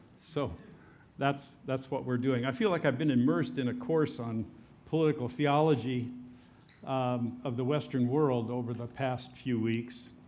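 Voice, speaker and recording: A man's medium-pitched voice at a moderate pace, fairly even in intonation, with audible room echo. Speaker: church teacher leading an adult class. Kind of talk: lecture. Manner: casual, with many filler words.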